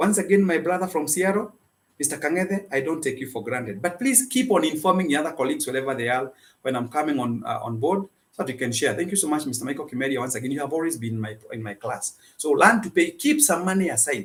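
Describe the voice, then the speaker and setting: Somewhat breathy and fairly high for a man, his animated voice races at a very fast pace with very wide pitch swings. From Kenya. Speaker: financial advice speaker. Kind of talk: live-streamed motivational talk. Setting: office.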